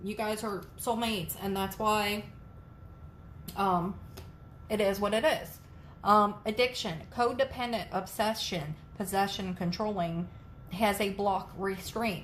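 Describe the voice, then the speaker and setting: Audible room echo surrounds a woman who speaks slowly-ish at a medium pitch, somewhat breathy, with fairly even intonation and long, frequent pauses. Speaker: tarot reader. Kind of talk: tarot reading to camera.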